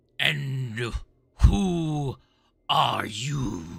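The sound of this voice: In a put-on character voice, raspy and low-to-middle in pitch, the speaker delivers the lines.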